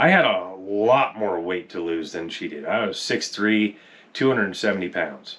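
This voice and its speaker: Noticeable background noise behind a fairly low-pitched man at a moderate pace with ordinary pitch variation. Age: 40s. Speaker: diet success story guest, husband of channel host. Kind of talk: casual chat. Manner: animated.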